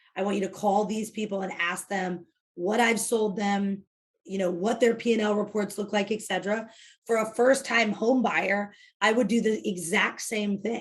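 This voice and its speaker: A woman's somewhat breathy, medium-pitched voice with fairly even intonation. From US Midwest, Illinois south of Chicago. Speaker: real estate team leader. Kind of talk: interview. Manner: fast; direct.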